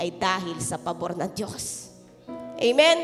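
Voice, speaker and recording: Music is audible behind the speaker. The speaker is a woman. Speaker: pastor. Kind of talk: sermon.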